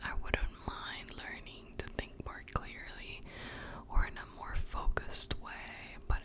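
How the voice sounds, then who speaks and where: Noticeable background noise surrounds a woman who is whispering. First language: Spanish. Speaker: ASMR creator. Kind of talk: whispered ASMR book reading for sleep. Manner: whispered, soft, slow.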